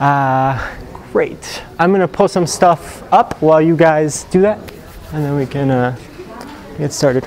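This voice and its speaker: A man speaks at a fairly high pitch with ordinary pitch variation and a fairly slow pace. He leaves long, frequent pauses, and there is noticeable background noise. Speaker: engineering executive giving guest lecture. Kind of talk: lecture. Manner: not loud, voice fades; casual, hesitant fillers.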